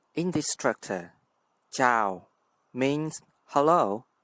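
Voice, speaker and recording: Speaking in a Vietnamese accent, a man uses a fairly high pitch and lively intonation. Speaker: language teacher. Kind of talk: tutorial.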